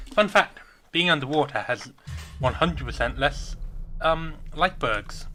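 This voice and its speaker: Bright and sharp, a man's fairly high voice moves slowly with lively intonation, vocal fry and long, frequent pauses. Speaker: let's play gamer. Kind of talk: game commentary with reading aloud. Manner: casual, with fillers.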